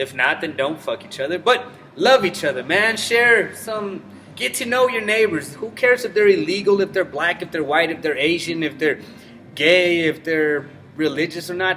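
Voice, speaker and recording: Over noticeable background noise, a man with a high pitch talks at a moderate pace with lively intonation. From Mexico. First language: Spanish. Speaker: vlogger. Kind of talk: casual rant to camera. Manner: casual, profane.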